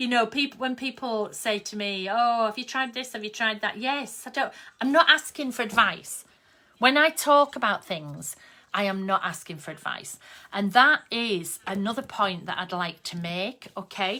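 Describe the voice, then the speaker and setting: Lively intonation, big swings in loudness and a bright, sharp tone carry a Yorkshire accent at a moderate pace. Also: woman, fairly high pitch for a woman. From Yorkshire, northern England. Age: 50s. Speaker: craft artist and online host. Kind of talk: casual live-stream chat. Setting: Facebook live video stream. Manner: chatty, conversational.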